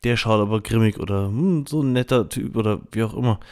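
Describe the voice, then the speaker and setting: A man's fairly low, dark, mellow voice at a moderate pace, in a very clean recording with a silent background. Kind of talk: personal reflection and guided meditation, spoken directly to listeners. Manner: calm, reflective, gentle, with hesitant fillers.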